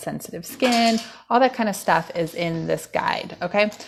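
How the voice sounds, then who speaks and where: Vocal fry and ordinary pitch variation come through on a very clean recording with a silent background. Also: woman. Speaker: wellness coach. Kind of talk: live stream talk. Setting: home dining room. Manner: fast; casual, many fillers.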